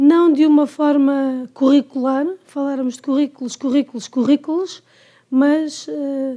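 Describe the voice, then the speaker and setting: The tone is dark and mellow. The intonation stays flat, in a monotone. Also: woman. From Portugal. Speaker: parent speaker. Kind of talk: conference talk. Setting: conference hall with audience.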